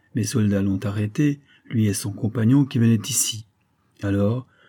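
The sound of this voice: An unforced reading voice, with ordinary pitch variation, is heard against a quiet background.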